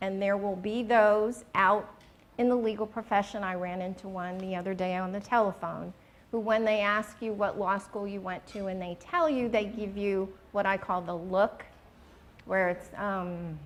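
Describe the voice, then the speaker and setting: A woman with an ordinary speaking voice speaks at a medium pitch and moderate pace, her intonation fairly even. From New York City (Queens). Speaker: retired corporate lawyer, alumna. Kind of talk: interview at school luncheon.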